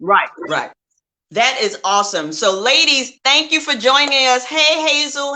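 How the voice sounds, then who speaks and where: A woman speaks in a raised, projected voice at a high pitch. Her tone is bright and sharp, her pace moderate. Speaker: talk show host. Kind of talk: casual interview chat. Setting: livestream video. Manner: loud.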